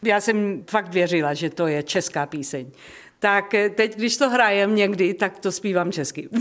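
Woman at a medium pitch, fairly slow pace. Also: lively intonation. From South Africa (Czech-born). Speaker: jazz singer. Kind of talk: radio interview. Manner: halting.

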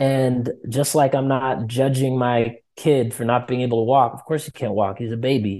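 A man's medium-pitched voice with a dark, mellow tone and an American accent, at a moderate pace against a quiet background. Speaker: musician, author and educator. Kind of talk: interview about grief.

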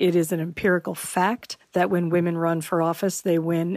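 A woman speaks in a normal speaking voice at a fairly low pitch, her intonation fairly even. The recording is very clean with a silent background, and the sound is dry and close with no echo. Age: 50s. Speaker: political science professor. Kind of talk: interview.

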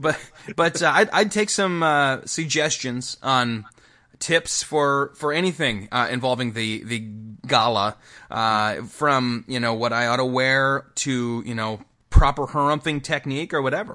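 A man's medium-pitched, bright, sharp voice at a fairly slow pace with ordinary pitch variation, over a quiet background. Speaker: podcast co-host and pastor. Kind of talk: casual chat.

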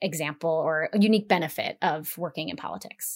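In a very clean recording with a silent background, a woman with an American accent has an ordinary speaking voice, fairly low pitch, fairly even intonation and a fairly quick pace. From Las Vegas, Nevada. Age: 40s. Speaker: political strategist. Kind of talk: interview conversation.

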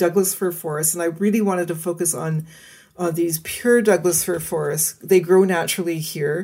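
With a Canadian accent, the speaker uses a dark, mellow tone and fairly even intonation. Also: woman. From British Columbia, Canada. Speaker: forest ecologist. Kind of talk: interview.

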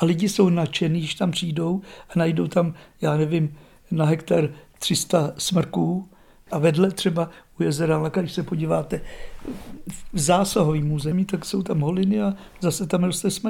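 At a moderate pace and with long, frequent pauses, a man with a high pitch and a dark, mellow tone speaks in fairly even intonation on a very clean recording with a silent background. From Czech Republic, Šumava region. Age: 70s. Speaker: retired forester. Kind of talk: interview. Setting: at home, living room.

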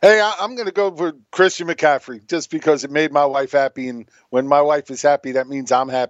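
A man talks at a fairly quick pace, with hardly any pauses and ordinary pitch variation. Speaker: fantasy football co-host. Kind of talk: casual sports banter. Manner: laughing, jokey.

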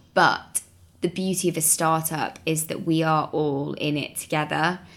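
Her voice is very deep and low in pitch. The very clean recording has a silent background. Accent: Mancunian. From Manchester, northern England. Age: 20s. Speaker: startup co-founder. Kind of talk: casual interview.

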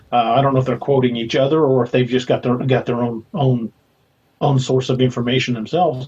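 A man's somewhat breathy voice with an American accent, flat monotone intonation and very even loudness. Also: medium pitch for a man, fairly quick pace. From Missouri. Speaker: author and paranormal investigator. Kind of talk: casual chat.

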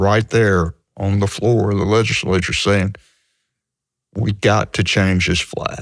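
Speaking in a Mississippi accent at a very slow pace, a man with a fairly low pitch keeps his intonation fairly even in a very clean recording with a silent background. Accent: Southern US (Mississippi). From US South, Mississippi (Hattiesburg). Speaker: sports writer. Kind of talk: interview storytelling. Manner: halting, repeats words.

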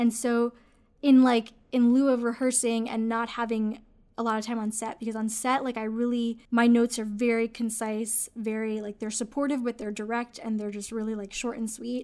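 A woman's fairly high voice with a dark, mellow tone, monotone, flat intonation and a moderate pace, on a very clean recording with a silent background. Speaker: podcast co-host and filmmaker. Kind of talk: casual podcast conversation about filmmaking.

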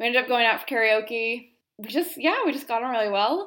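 Talking at a fairly quick pace with lively intonation, a woman has an ordinary speaking voice in a very clean recording with a silent background. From United States. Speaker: travel blogger. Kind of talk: recorded monologue. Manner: casual, with many fillers.

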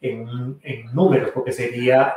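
At a fairly slow pace, a man talks at a medium pitch in an unremarkable speaking voice. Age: 40s. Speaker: priest, podcast host. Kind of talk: casual chat.

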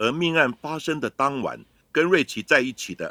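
Speaking fairly slowly, a man has a fairly high pitch, a bright, sharp tone and vocal fry. The sound is dry and close with no echo, in a very clean recording with a silent background. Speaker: forensic expert, podcast host. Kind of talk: scripted narration.

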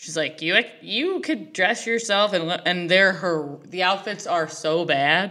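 A woman of medium pitch speaks with a Midwestern US accent. Her pace is fairly slow, with ordinary pitch variation and hardly any pauses. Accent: US Midwest. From Ohio, Cleveland. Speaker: comedian. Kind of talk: casual chat. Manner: loud.

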